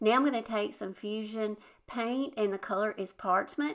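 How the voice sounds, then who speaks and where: With a Southern US accent, a woman speaks at a fairly slow pace with a fairly high pitch and a bright, sharp tone. The recording is very clean, with a silent background. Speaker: DIY crafts YouTuber. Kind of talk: tutorial. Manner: casual, chatty.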